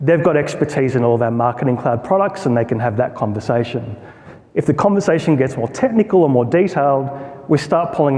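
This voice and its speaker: Over noticeable background noise, a man with an Australian accent talks fairly quickly at a medium pitch with ordinary pitch variation. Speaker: product marketer. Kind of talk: conference talk. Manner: conversational, informal.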